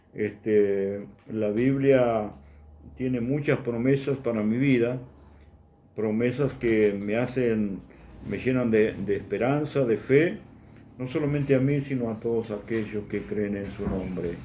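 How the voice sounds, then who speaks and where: Over audible room echo, a man speaks very slowly in a medium pitch, with a dark, mellow tone and ordinary pitch variation. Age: 60s. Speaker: preacher. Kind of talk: sermon.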